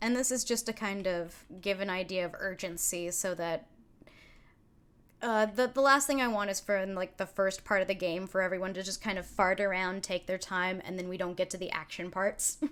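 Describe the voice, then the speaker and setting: A woman speaks with a strong Californian accent. Her medium-pitched voice keeps fairly even intonation. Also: moderate pace. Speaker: streamer and game master; streamer. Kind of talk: live stream, casual planning chat. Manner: casual, filler-heavy. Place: home room.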